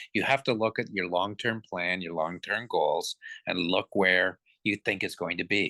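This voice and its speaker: A man speaks with a Canadian accent at a moderate pace. His tone is bright and sharp, and the sound is dry and close with no echo. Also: quiet background. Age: 60s. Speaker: company executive chairman. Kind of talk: interview. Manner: many fillers and repetitions.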